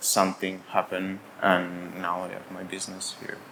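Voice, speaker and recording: The speaker is a man. He has an Italian accent. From Italy. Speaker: brewery and cafe owner. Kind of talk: interview. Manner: halting, with many fillers.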